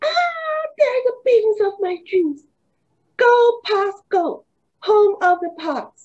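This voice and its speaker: In a put-on character voice, the speaker squeaks at an extremely high pitch and a very slow pace. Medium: read story. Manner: boastful, laid-back.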